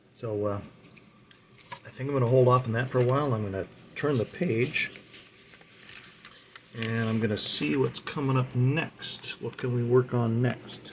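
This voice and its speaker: A man with a medium-pitched voice and a relaxed tone speaks at a moderate pace, using ordinary pitch variation and long, frequent pauses over noticeable background noise. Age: 70s. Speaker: scale model builder. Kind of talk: casual hobby tutorial talk. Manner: relaxed, hesitant.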